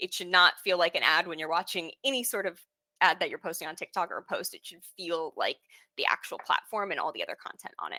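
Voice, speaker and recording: The sound is close and dry, without echo. A woman delivers her words at a fairly quick speed. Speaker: webinar host. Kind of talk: webinar presentation. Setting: live online webinar. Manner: fast.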